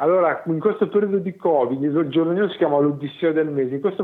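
The voice belongs to a man. It is pitched fairly high. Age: 40s. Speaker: mental health patient. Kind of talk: interview. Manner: halting, many repetitions.

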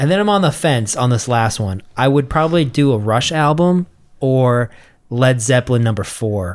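With lively intonation, a man talks at a medium pitch and moderate pace in an unremarkable speaking voice. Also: very even loudness. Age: 30s. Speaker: podcast host. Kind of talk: casual banter. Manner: joking.

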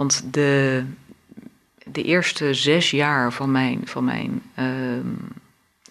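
Very slowly, a woman speaks at a very deep, low pitch. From Africa and Brunei, expat childhood. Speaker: law professor and supervisory board member. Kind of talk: interview.

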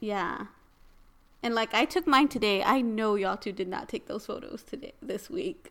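A woman's fairly high, lively voice in an American accent, an ordinary speaking voice. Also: moderate pace. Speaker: podcast co-host. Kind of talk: casual chat.

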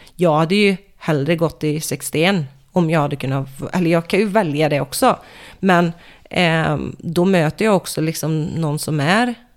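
With ordinary pitch variation and a moderate speed, this is an unremarkable speaking voice. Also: woman. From Sweden, Västergötland (Falköping area). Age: 30s. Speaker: MMA fighter. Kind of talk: casual chat.

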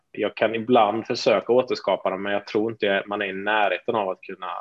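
The man talks at a fairly quick pace in a dry, close sound with no echo. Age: 30s. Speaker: entrepreneur. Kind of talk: interview.

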